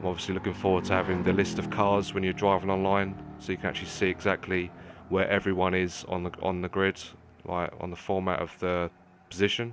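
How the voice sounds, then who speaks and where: With a British accent, a man with a very deep, low pitch talks at a fairly quick pace in a monotone, flat intonation. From England. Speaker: gaming streamer. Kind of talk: livestream commentary while gaming. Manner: casual, conversational with hesitations.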